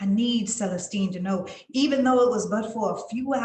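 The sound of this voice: Unforced reading, its pitch varying in an ordinary way.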